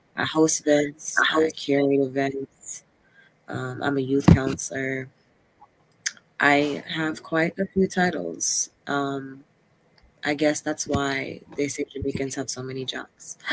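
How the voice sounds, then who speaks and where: A woman's very deep, low voice at a very slow pace with ordinary pitch variation. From Jamaica. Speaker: poet and activist. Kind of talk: casual podcast interview.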